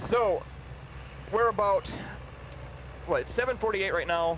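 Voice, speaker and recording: A man with a slight Upper Midwest accent, plus noticeable background noise. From Minnesota, US Midwest. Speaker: live event commentator. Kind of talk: live commentary.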